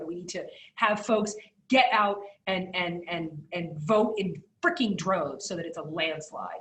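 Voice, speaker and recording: Against audible room echo, a woman speaks at a fairly slow pace with a medium pitch. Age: 40s. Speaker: keynote speaker and attorney. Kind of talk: keynote talk with audience Q&A. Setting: video call. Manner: halting, many repeated words and fillers.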